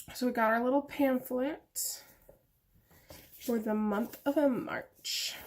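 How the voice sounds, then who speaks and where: A high-pitched woman talks at a very slow pace with fairly even intonation. Long, frequent pauses break up her speech. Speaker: beauty youtuber. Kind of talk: product unboxing review. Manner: casual, chatty.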